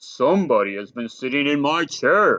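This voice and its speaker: A put-on character voice from a man, raspy and fairly high-pitched, delivered at a moderate pace. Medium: read story. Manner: gruff, blustering.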